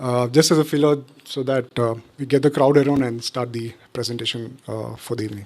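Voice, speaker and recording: In an Indian accent, the speaker talks at a moderate pace. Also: man. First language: Tulu. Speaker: architect and songwriter. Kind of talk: informal talk to live audience. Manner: halting, many fillers.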